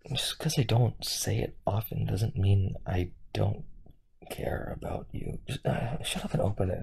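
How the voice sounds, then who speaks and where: A man puts on a character voice that is raspy and fairly low in pitch. He speaks at a moderate pace. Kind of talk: audio roleplay. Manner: gruff, teasing.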